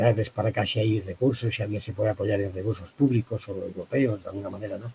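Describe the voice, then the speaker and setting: A man's fairly quick, somewhat breathy delivery with a dark, mellow tone, fairly low pitch and fairly even intonation. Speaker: trade consultant on Japanese wine market. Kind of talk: webinar presentation. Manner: fast.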